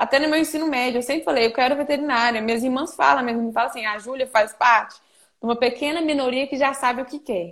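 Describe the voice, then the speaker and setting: With hardly any pauses, a woman talks at a very fast pace in a high pitch with ordinary pitch variation. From Minas Gerais, Brazil. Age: 20s. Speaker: veterinary student intern. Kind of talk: casual interview on a live stream. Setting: remote call from a farm.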